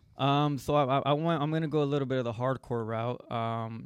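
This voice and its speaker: Speaking at a moderate pace, a man has an unremarkable speaking voice and fairly even intonation. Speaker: guest, brother of a host. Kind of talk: casual chat.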